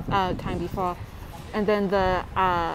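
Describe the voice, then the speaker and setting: Loud background noise sits behind a woman speaking at a very slow pace. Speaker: vlogger. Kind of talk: casual vlog chat. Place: street. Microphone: earbuds.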